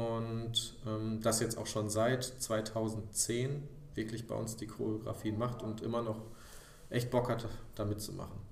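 At a very slow pace, the speech comes in a monotone, flat intonation, with audible room echo and noticeable background noise. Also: man, medium pitch for a man. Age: 30s. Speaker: amateur theatre director. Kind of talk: casual interview.

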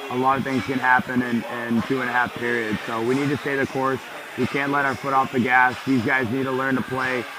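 A man's medium-pitched voice at a fairly quick pace, with monotone, flat intonation and noticeable background noise. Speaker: hockey head coach. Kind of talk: coach interview between periods. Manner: earnest, direct.

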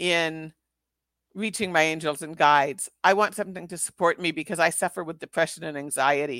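In a dry, close sound with no echo and a silent background on a very clean recording, a woman uses a normal speaking voice, fairly low in pitch, with ordinary pitch variation at a moderate pace. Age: 60s. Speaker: former teacher and spiritual healer. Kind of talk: casual interview conversation.

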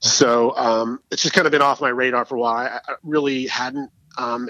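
Dry and close with no echo, a man's medium-pitched voice has a bright, sharp tone and fairly even intonation. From Los Angeles, California (born in England). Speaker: record label owner, visual artist and musician. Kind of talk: interview. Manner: halting, many false starts.

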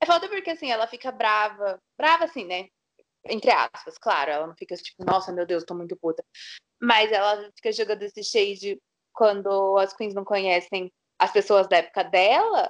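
With an unremarkable speaking voice, a woman at medium pitch talks at a moderate pace, her intonation lively and her loudness swinging widely, in a dry, close sound with no echo. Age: 20s. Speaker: podcast co-host. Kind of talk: casual chat.

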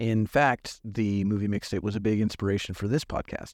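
A man talks at a moderate pace in an unremarkable speaking voice, pitched fairly low. The sound is dry and close with no echo, over a quiet background. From US West Coast. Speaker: podcast host. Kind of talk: scripted narration; casual chat.

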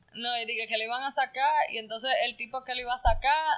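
A woman with a high pitch and a bright, sharp tone speaks at a fairly quick pace with fairly even intonation. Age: 20s. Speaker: podcast co-host. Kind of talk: casual chat.

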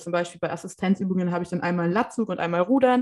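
This is an ordinary speaking voice. The woman's pitch is medium, and it varies in an ordinary way. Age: 20s. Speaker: podcast host. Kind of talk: casual chat.

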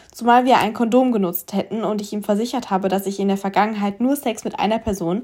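With an unremarkable speaking voice, a woman talks at a fairly quick pace at a medium pitch with ordinary pitch variation. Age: 20s. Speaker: podcast host. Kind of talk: casual solo podcast monologue.

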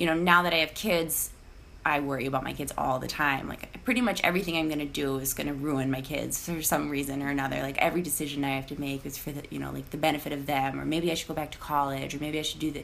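A woman with a Minnesota accent talks at a very fast pace in a very deep, low voice, her intonation fairly even over noticeable background noise. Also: hardly any pauses. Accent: St. Paul, Minnesota sound. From Iowa, living in St. Paul, Minnesota. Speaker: podcast guest. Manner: candid, conversational, frequent fillers and laughs.

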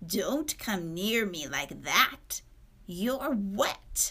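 A put-on character voice drags along at a very slow pace. Hissing can be heard. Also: female-sounding voice, medium pitch for a woman. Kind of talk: petulant. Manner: hissing, irritable.

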